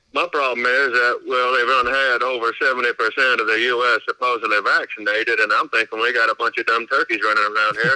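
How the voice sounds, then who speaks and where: A strong Kentucky accent comes through at a very fast pace with hardly any pauses and very even loudness. The sound is dry and close with no echo, over noticeable background noise. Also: man. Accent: strong Southern US (Kentucky). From US South, Louisville, Kentucky. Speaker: caller. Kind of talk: phone-in call.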